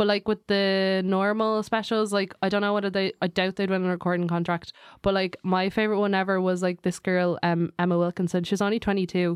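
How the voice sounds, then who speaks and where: At a fairly quick pace with hardly any pauses, a woman speaks in a medium pitch, her intonation monotone and flat and her loudness very even. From London. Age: 20s. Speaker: stand-up comedian and writer. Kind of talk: casual chat.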